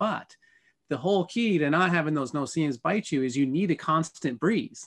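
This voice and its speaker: An unremarkable speaking voice with an American accent carries lively intonation at very even loudness. The sound is dry and close with no echo, over a quiet background. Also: man, fairly high pitch for a man, moderate pace. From Colorado, USA. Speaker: full-time RV traveler. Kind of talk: interview answer.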